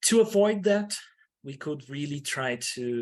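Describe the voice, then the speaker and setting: Over a quiet background, a man with a non-native accent speaks at a very slow pace with very wide pitch swings. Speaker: academic researcher. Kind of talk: conference presentation. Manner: halting, many fillers and restarts.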